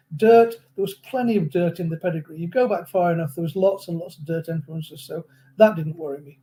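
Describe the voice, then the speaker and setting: Speaking at a fairly quick pace with an English accent, a man with a high pitch and a dark, mellow tone shows ordinary pitch variation and big swings in loudness. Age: 70s. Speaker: horse racing analyst. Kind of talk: interview. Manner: halting.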